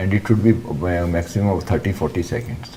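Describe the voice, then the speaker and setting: Amid noticeable background noise, a man with an Indian accent speaks with ordinary pitch variation. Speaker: interview board member. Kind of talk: feedback on mock interview.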